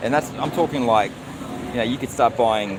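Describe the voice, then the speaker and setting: With an Australian accent, a man speaks at a very fast pace and a medium pitch, with ordinary pitch variation. Noticeable background noise runs underneath. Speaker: vlogger. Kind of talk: live stream chat answering viewers.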